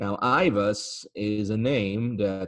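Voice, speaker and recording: In a dry, close sound with no echo, a man with an Italian accent speaks at a fairly low pitch with fairly even intonation. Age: 40s. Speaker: antiques dealer and esoteric lecturer. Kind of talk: interview conversation.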